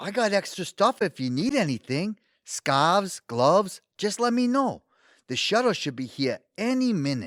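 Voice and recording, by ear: A man does a put-on character voice, high in pitch and fairly bright in tone, with big pitch swings at a fairly slow pace. The sound is dry and close, with no echo. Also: very clean recording, silent background.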